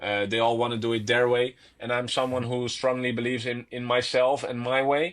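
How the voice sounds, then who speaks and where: A man with a Dutch accent at medium pitch, a fairly quick pace and monotone, flat intonation. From Netherlands. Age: 20s. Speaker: professional tennis player. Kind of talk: casual interview chat. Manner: hesitant, with fillers and repetitions.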